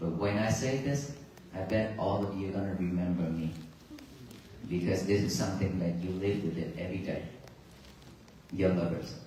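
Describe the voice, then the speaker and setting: A man with a Vietnamese accent, very deep and low in pitch with ordinary pitch variation, at a moderate pace with long, frequent pauses, amid audible room echo and noticeable background noise. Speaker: Buddhist monk giving a talk on a peace walk. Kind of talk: dharma talk to a crowd. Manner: halting.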